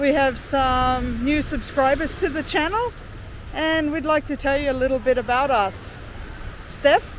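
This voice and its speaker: At a fairly slow pace, a woman with an Australian accent speaks in a high pitch with ordinary pitch variation. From Australia, Sydney. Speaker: travel vlogger. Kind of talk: casual chat. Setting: outdoors.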